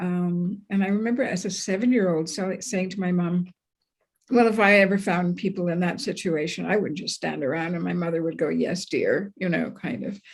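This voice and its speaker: A woman with a Canadian accent talks at a moderate pace with ordinary pitch variation. Her medium-pitched voice is somewhat breathy. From Canada, Montreal. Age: 70s. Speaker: journalist. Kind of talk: interview.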